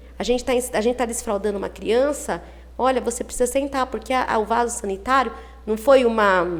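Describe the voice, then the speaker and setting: A woman's fairly high voice at a fairly quick pace, amid noticeable background noise. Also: ordinary pitch variation. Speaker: early childhood teacher. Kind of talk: interview.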